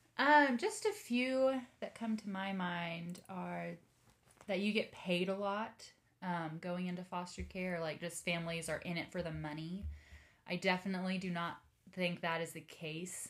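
At a fairly slow pace, a woman with an American accent, a fairly low pitch, ordinary pitch variation and a normal speaking voice talks. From Texas, Dallas area. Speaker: social worker. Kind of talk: interview.

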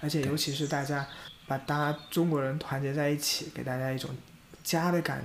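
A man speaks in a flat monotone. His voice is somewhat breathy. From China, Jiangxi. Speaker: podcast co-host, volunteer community organizer. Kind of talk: casual chat.

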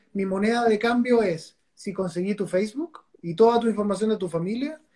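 A man talks at a fairly quick pace. His voice is high-pitched with ordinary pitch variation. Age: 40s. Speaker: angel investor and entrepreneur. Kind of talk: casual interview. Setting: Instagram live video call.

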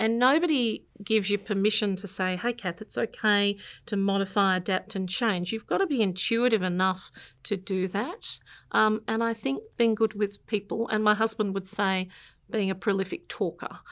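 A woman with an Australian accent speaks at medium pitch and a moderate pace with ordinary pitch variation on a very clean recording with a silent background. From born in an English village, raised in Canberra from the 1970s. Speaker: accounting firm partner. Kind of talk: interview.

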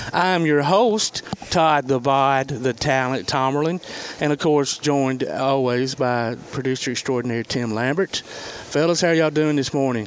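With a Southern US accent and noticeable background noise, a man talks at a moderate pace in a fairly high voice, his pitch varying normally and his loudness very even. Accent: Southern, country. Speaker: sports radio show host. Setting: on location at a restaurant. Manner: casual, folksy.

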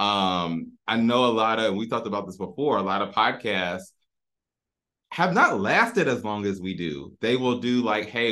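In a bright, sharp tone, a man speaks at a moderate pace with a fairly low pitch and ordinary pitch variation. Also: quiet background. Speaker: podcast host. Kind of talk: casual chat.

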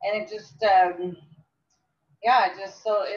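A woman's unremarkable speaking voice, medium in pitch, at a fairly slow pace. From Phoenix, Arizona. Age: 40s. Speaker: interview guest. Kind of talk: casual chat.

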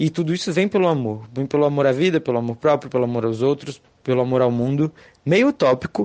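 This man has a fairly high pitch and ordinary pitch variation. It is a plain, everyday voice. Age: 20s. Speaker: listener contributor. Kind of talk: recorded testimony.

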